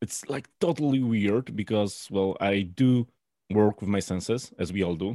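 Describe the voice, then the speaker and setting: A man speaks with a Polish accent at a fairly low pitch and a fairly slow pace. His tone is dark and mellow, and the sound is dry and close with no echo. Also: ordinary pitch variation. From Poland. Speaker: beer judge and brewer. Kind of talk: casual interview chat. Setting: video call.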